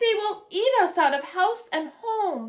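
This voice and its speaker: Using a put-on character voice, a woman talks at a fairly slow pace at an extremely high pitch with very wide pitch swings. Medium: read story.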